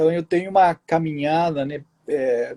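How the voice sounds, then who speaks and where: A man speaks with a Spanish accent and a dark, mellow tone. The sound is dry and close, with no echo. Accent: Spanish accent in Portuguese, unchanged. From southern Chile. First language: Spanish (speaking Portuguese). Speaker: writer. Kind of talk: interview.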